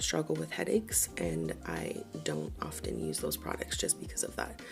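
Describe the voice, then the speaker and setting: Music plays in the background as a soft-spoken woman talks at a moderate pace. Her pitch swings very widely. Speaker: beauty vlogger. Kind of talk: casual product review.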